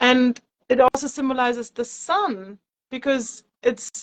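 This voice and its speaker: A woman speaks with a German accent. Her pitch is high. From Germany. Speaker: yoga teacher. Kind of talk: interview. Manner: hesitant, with many fillers.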